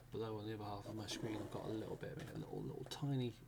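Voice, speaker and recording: A soft-spoken man talks at a very fast pace and a fairly low pitch. His intonation is fairly even, and background noise is noticeable. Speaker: ASMR creator. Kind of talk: ASMR sleep aid talk to camera.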